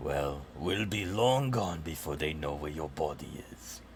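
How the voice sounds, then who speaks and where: A man's put-on character voice, very deep and low, at a fairly slow pace amid clear background noise. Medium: actual play. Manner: sneering, threatening.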